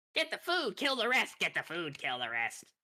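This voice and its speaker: A put-on character voice shouts at a fairly high pitch. The pace stays moderate. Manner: screaming.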